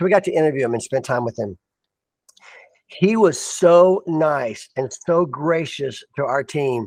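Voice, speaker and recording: A man's fairly high voice carries an animated tone and lively intonation, with a dry, close sound and no echo. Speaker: motivational speaker and documentary producer. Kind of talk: casual chat. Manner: fast.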